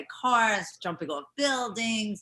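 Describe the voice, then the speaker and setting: A bright, sharp tone with an American accent. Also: woman. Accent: New York Italian American. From New York. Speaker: former pro wrestler and stuntwoman. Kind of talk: interview.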